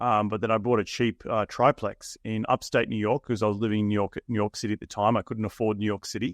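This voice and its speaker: A man speaks with an Australian accent at a very fast pace. His pitch is fairly low and his intonation monotone and flat. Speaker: real estate investor. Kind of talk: interview.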